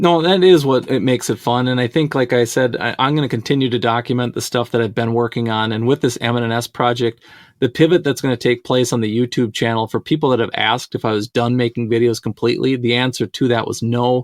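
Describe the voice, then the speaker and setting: A man talks at a very fast clip with hardly any pauses. His pitch is medium and his intonation fairly even. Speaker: model railroading YouTuber. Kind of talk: casual interview chat.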